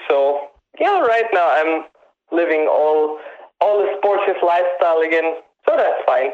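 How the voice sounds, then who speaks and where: A high-pitched man with a German accent at a fairly slow pace, with long, frequent pauses, very even loudness and ordinary pitch variation. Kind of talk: casual interview.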